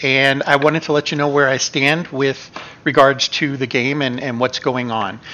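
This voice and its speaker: A man with a fairly high pitch talks at a moderate pace with fairly even intonation over noticeable background noise. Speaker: gaming YouTuber. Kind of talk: casual vlog update.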